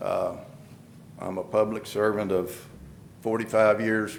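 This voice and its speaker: Speaking in a New Mexico accent, a man talks at a fairly slow pace. His pitch is fairly low and his intonation monotone and flat. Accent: rural southwestern US, New Mexico. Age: 60s. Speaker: candidate for appointed public office, rancher. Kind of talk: public statement at commission meeting. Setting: county commission meeting room. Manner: halting, many repetitions and fillers.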